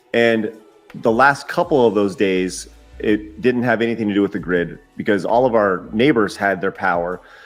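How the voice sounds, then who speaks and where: Music plays in the background as a man with an American accent speaks at a moderate pace. His pitch is fairly low, with ordinary variation. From Texas. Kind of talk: casual conversation.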